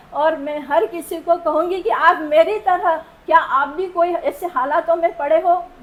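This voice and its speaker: Over noticeable background noise, a woman with a non-native accent speaks at an extremely high pitch, with ordinary pitch variation and hardly any pauses. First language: not Hindi (speaking Hindi). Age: old. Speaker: patient. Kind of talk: testimony. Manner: emotional.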